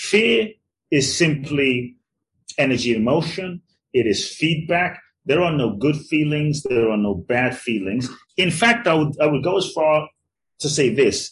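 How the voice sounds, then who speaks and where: A man's somewhat breathy, fairly high voice, with lively intonation and a fairly slow pace. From London, England (born in Ghana). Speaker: transformational teacher and author. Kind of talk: interview conversation.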